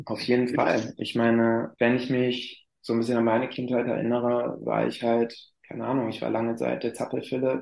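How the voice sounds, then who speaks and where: A man talks at a moderate pace in a medium pitch, with monotone, flat intonation. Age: 30s. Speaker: climbing therapist and school sports teacher. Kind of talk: interview.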